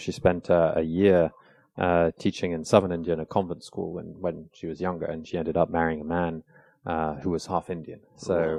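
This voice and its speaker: A man speaks with a British accent in a very deep, low voice. His intonation is monotone and flat against a quiet background. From England (London), then south of France. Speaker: think tank researcher. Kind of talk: podcast interview. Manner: hesitant, many fillers.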